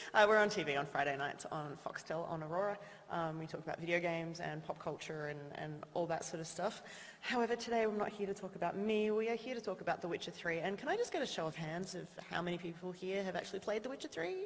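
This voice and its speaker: Over noticeable background noise, a woman with an Australian accent speaks very fast. Her pitch is medium, with ordinary variation. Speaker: TV presenter. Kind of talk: event introduction. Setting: stage with audience.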